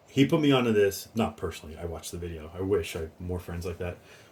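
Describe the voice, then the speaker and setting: At a fairly quick pace, a man talks in a somewhat breathy voice with ordinary pitch variation. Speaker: fragrance reviewer. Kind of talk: casual review monologue. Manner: hesitant, many fillers.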